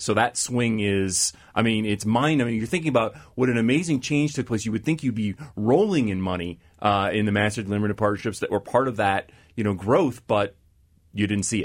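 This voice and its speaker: In a normal speaking voice, a man talks at a fairly quick pace. His medium pitch shows ordinary variation. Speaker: investment manager. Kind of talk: panel discussion. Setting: studio.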